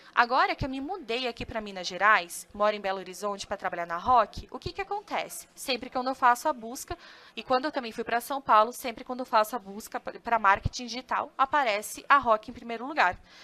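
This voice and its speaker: In a Santa Catarina accent, a woman talks at a fairly quick pace with a fairly high pitch, a bright, sharp tone, lively intonation and big swings in loudness. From southern Brazil, Joinville, Santa Catarina. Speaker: customer success analyst and content marketing specialist. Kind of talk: webinar presentation. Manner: casual, with frequent fillers and self-corrections.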